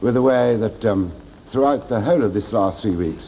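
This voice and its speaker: An ordinary speaking voice from a man, fairly low-pitched, fairly quick, with lively intonation. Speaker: politician. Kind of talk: interview answer.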